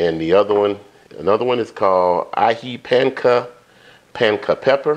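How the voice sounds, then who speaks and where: A man with a fairly low pitch. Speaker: cooking show host. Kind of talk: tutorial. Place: home room.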